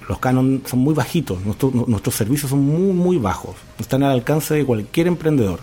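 Here a man has a normal speaking voice at a medium pitch. He keeps a moderate pace with lively intonation. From Argentina, Tierra del Fuego. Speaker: business founder. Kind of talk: radio interview.

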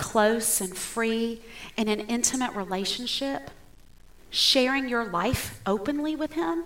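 Audible room echo and noticeable background noise surround a woman's fairly high voice. She speaks at a fairly slow pace with lively intonation. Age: 40s. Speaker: pastor. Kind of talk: sermon.

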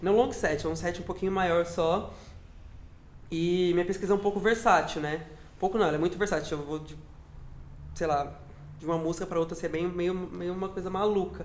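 Speaking at a fairly quick pace with a high pitch and fairly even intonation, a man takes long, frequent pauses amid audible room echo. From Brazil, Minas Gerais. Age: 20s. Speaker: DJ and party organizer. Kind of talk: casual interview chat. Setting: at home.

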